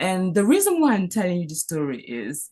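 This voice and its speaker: A woman's medium-pitched, somewhat breathy voice with a dark, mellow tone, very wide pitch swings and a fairly quick pace, against a quiet background. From Cameroon. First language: French. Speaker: physician. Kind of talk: panel talk. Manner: halting.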